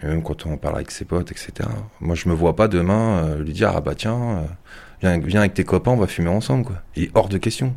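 Here a man speaks with a very deep, low pitch. His intonation is lively. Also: moderate pace. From Yvelines, France. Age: 40s. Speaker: telecoms worker and startup founder. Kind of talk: casual interview. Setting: at home.

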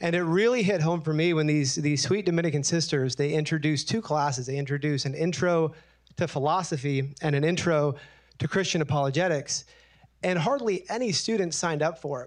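In a plain, everyday voice, the speaker moves at a fairly quick pace with ordinary pitch variation. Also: man, fairly high pitch for a man. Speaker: testing company founder. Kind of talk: panel discussion. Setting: stage with audience.

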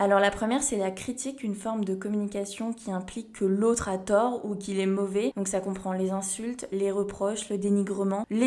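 Over noticeable background noise, a woman at medium pitch talks at a moderate pace in a monotone, flat intonation. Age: 20s. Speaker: podcast host. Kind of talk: solo podcast monologue. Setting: home recording at living room table. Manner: casual.

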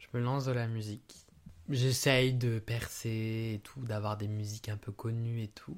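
Quiet and fairly slow, a man speaks at a medium pitch on a very clean recording with a silent background. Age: 20s. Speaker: podcast host's boyfriend, student. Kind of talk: casual chat.

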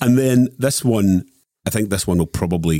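With a Scottish accent, a man speaks at a fairly quick pace in a dark, mellow tone with ordinary pitch variation. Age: 50s. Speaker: journalist. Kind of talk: casual chat.

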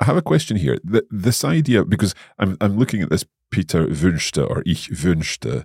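A man with a very deep, low pitch speaks at a moderate pace, showing vocal fry and very wide pitch swings. The sound is dry and close with no echo, on a very clean recording with a silent background. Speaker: language podcast host, learner-side. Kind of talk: casual educational chat.

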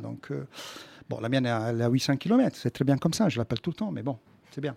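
With an Italian accent, a man speaks at medium pitch in a dark, mellow tone. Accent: put-on Italian accent in French. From Quebec, Montreal. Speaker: comedian. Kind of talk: radio interview. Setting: studio.

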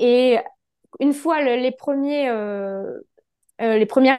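Against a quiet background, a woman with a high pitch speaks at a very slow pace, her pitch varying in an ordinary way. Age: 30s. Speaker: holistic therapist. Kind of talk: interview testimony.

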